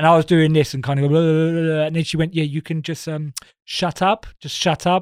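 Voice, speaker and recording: Speaking in an Essex accent, a man uses a fairly high pitch and monotone, flat intonation at a moderate pace. The recording is very clean, with a silent background and a dry, close sound with no echo. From Essex, England. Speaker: comedian. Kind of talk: casual chat.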